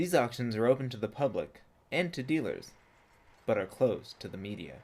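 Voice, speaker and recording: This man has an unremarkable speaking voice, a medium pitch, and lively intonation. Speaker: broadcast reporter and anchor. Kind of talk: TV news package narration.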